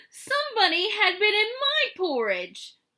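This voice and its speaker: This is a put-on character voice with a growl. It moves at a moderate pace with very wide pitch swings. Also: woman, extremely high pitch for a woman. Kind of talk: bedtime story. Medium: read story.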